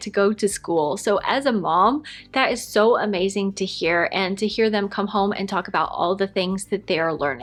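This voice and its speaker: A woman talks in a plain, everyday voice with an American accent. Her pitch is medium with ordinary variation, and her pace is moderate. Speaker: lifestyle vlogger. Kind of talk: casual Q&A chat.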